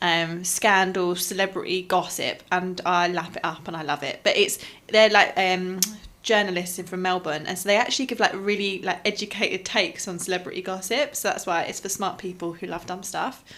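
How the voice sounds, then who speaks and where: A woman talks at a fairly quick pace and medium pitch. Her tone is bright and sharp, with ordinary pitch variation. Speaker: podcast co-host. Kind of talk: casual chat.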